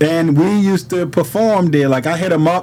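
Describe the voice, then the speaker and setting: A man with a high pitch and ordinary pitch variation speaks over noticeable background noise. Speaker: rapper. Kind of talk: casual chat. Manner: halting.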